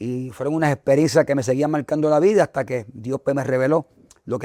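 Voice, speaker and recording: A man talks at a fairly quick pace with a fairly high pitch and fairly even intonation. His tone is dark and mellow, and the sound is dry and close with no echo. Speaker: evangelist. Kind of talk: testimony.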